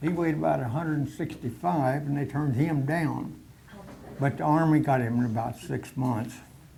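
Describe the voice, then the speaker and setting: The voice has an American accent and a dark, mellow tone, with ordinary pitch variation at a moderate pace. Audible room echo can be heard. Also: man. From Oklahoma, US. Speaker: war veteran. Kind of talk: personal war reminiscence talk to a society meeting. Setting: meeting hall with audience. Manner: halting, many fillers.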